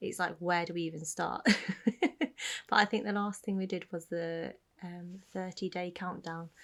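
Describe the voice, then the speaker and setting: On a very clean recording with a silent background, a woman speaks quietly at a fairly low pitch, in a monotone, flat intonation at a moderate pace, with long, frequent pauses. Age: 30s. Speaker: podcast co-host. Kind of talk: casual chat. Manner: speaking quietly.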